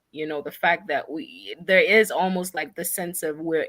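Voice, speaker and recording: With an African accent, a woman speaks at a fairly low pitch. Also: very clean recording, silent background. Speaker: nonprofit founder. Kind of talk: interview.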